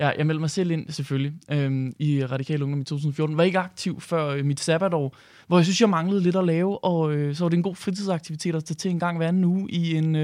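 On a very clean recording with a silent background, a man with a high pitch speaks at a fairly quick pace with fairly even intonation. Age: 20s. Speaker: youth party chairman. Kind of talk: radio interview. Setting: studio.

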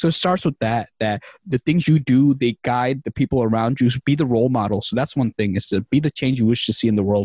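In a New York accent, a man talks at a very fast pace with very even loudness, the sound dry and close with no echo. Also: medium pitch for a man, ordinary pitch variation, hardly any pauses. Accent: New York City English. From Queens, New York City (came from Bangladesh at age three). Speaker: career resource founder and podcast host. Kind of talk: casual interview chat.

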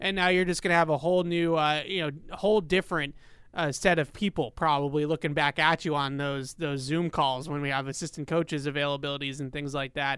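A man speaks in an unremarkable speaking voice at a fairly quick pace, fairly high in pitch. His intonation is fairly even over a quiet background. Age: 30s. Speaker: sports podcast host. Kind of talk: casual chat.

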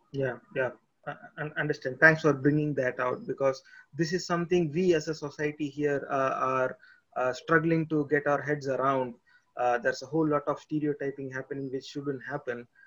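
Here a man speaks in a fairly high pitch. His pace is moderate and his intonation fairly even. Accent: Tamil. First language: Tamil. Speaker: podcast host. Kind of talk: interview. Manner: halting.

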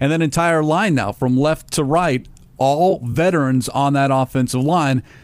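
An unremarkable speaking voice from a man, fairly high in pitch, with ordinary pitch variation, very even loudness and a moderate pace. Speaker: radio host. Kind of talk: casual sports talk. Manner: polished, professional.

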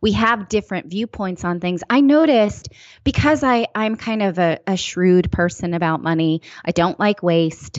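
A woman with an American accent speaks in a normal speaking voice at a moderate pace, her medium pitch moving with lively intonation. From California, East Bay area. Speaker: personal finance writer and broadcaster. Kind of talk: casual interview.

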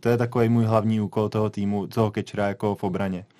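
Over a quiet background, a man with a dark, mellow tone speaks at a fairly quick pace in a monotone, flat intonation. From Czech Republic, Prague. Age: 30s. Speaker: baseball player. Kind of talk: radio interview. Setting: radio studio.

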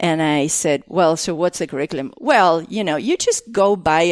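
A woman in an Argentine accent, fairly low-pitched, with lively intonation, a moderate pace, and a dry, close sound with no echo. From Argentina. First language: Spanish. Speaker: artist and former educator. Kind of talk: casual interview conversation. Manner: halting, with many fillers and restarts.

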